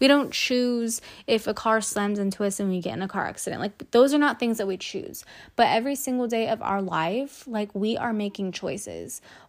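A woman with an American accent talks at a moderate pace, her pitch fairly high with ordinary variation. The recording is very clean, with a silent background. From California. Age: 20s. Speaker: podcaster. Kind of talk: casual monologue.

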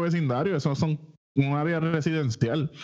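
A man is speaking. He has a Puerto Rican accent. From Puerto Rico, Isabela. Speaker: podcast host. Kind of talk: casual chat.

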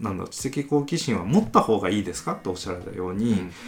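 With a normal speaking voice, the man lets his pitch rise and fall in an ordinary way. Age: 30s. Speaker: company founder and engineering manager. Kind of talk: casual chat.

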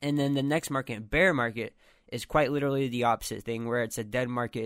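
The recording is very clean, with a silent background. A man talks in a normal speaking voice at medium pitch, his intonation fairly even. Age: 20s. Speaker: solo podcast host. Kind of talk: casual monologue. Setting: his bedroom. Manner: many filler words and false starts.

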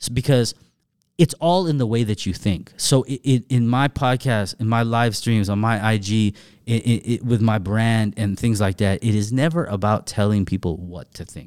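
The speaker has an American accent and an ordinary speaking voice, with ordinary pitch variation at a moderate pace. The very clean recording has a silent background and a dry, close sound with no echo. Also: man, medium pitch for a man. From Southern California. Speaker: car culture figure. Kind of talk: casual chat.

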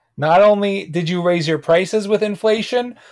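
Someone with an American accent speaks at a fairly slow pace in an animated tone. The recording is very clean, with a silent background. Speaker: podcast co-host, actor. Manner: animated, joking.

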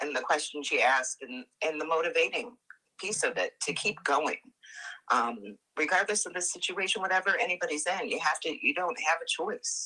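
A woman speaks with a fairly low pitch and a bright, sharp tone. Her intonation is lively. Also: moderate pace. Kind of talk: interview.

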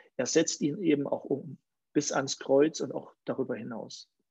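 Somewhat breathy, a man's voice sits at a fairly high pitch with a dark, mellow tone. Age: 40s. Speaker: pastor. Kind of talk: sermon; casual chat.

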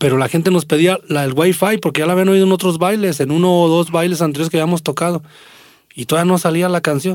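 A man speaks at a very fast pace in a high pitch. His intonation stays fairly even. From Mexico, Aguascalientes (Jesús María). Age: 40s. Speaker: singer and accordionist. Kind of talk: casual chat.

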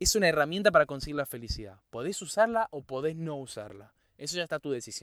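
In an animated tone, a man with a fairly high pitch talks very fast, with very wide swings in both pitch and loudness. The sound is dry and close, with no echo. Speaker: podcast host. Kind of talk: solo motivational podcast monologue.

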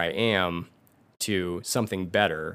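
A man with an American accent speaks at a very deep, low pitch with fairly even intonation. The recording is very clean, with a silent background. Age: 30s. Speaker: city innovation director. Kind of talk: casual interview chat.

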